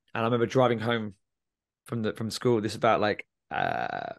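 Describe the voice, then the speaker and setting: This man speaks at a medium pitch with a southern English accent. His pace is fairly quick, and the background is quiet. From England, Milton Keynes. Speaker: student life coach and former teacher. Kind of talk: interview conversation.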